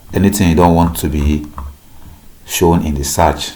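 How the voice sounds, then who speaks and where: A man's flat, monotone voice amid noticeable background noise and audible room echo. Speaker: tech youtuber. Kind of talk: tutorial.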